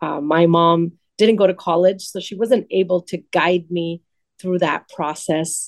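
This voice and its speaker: A woman with an American accent speaks in a normal speaking voice at a fairly low pitch, with fairly even intonation and a fairly slow pace, in a dry, close recording with no echo. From Los Angeles, San Fernando Valley (Pacoima). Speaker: state legislator. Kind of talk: radio interview; public remarks at community event.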